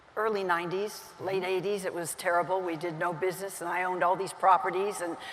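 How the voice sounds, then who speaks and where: Over noticeable background noise, a woman speaks fairly quickly at a medium pitch in a monotone, flat intonation. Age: 80s+. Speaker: real estate agent. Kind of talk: interview answer on stage.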